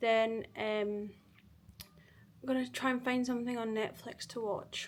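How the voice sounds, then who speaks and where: This is spoken fairly slowly in a Glaswegian accent, with a flat, monotone delivery. The recording is very clean, with a silent background. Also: woman, fairly high pitch for a woman. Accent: Glaswegian Scottish. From Scotland, Glasgow. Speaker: vlogger. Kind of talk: casual vlog talk to camera. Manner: chatty, filler-heavy.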